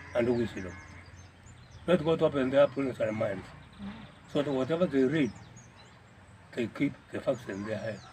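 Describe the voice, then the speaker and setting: A man's dark, mellow, somewhat breathy voice at a moderate pace, with long, frequent pauses and light background noise. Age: 80s+. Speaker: grandfather interviewed. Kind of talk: interview answer. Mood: grateful, prayerful blessing. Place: garden.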